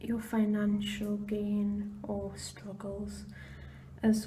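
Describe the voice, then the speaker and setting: Very slowly paced speech is accompanied by noticeable background noise. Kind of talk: ASMR palm reading guide. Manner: whispered.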